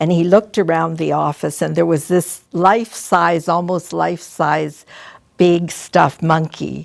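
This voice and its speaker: A woman speaks with a Canadian accent. Her pace is fairly slow. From Ontario, Canada. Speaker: retired school principal. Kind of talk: interview. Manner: halting.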